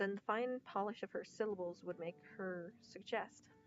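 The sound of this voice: The voice reads in an unforced way.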